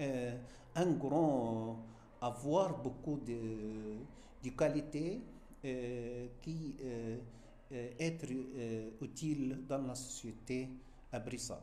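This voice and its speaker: A man with a medium pitch and fairly even intonation speaks at a very slow pace, leaving long, frequent pauses. Noticeable background noise and audible room echo fill the recording. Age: 60s. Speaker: French teacher. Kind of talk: interview. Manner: halting, many hesitations.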